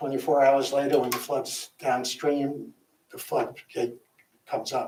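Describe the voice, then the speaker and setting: Speaking fairly slowly, a man with a fairly high pitch keeps a monotone, flat intonation. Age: 80s+. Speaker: public meeting speaker, retired professor. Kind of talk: public comment at town meeting. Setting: town meeting room, also on Zoom.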